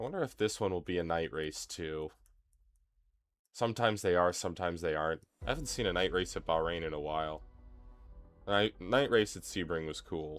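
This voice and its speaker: A quiet man with a very deep, low voice speaks at a fairly quick pace, with lively intonation and long, frequent pauses. Music plays in the background. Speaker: sim racing streamer. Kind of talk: live stream commentary. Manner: quiet during the race; casual, hesitant with fillers.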